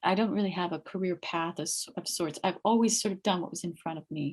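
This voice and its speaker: With an American accent, a woman talks at a fairly quick pace and medium pitch with ordinary pitch variation. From California. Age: 50s. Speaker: meditation group leader. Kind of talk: interview. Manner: calm.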